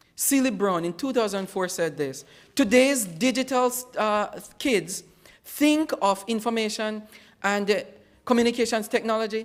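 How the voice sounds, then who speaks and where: In a Jamaican accent, the speaker goes at a fairly slow pace in a very clean recording with a silent background. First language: Jamaican Patois. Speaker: educator. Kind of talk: conference presentation.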